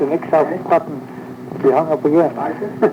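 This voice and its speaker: A man speaks over noticeable background noise. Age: 80s+. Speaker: elderly pioneer interviewee. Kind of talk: oral history interview.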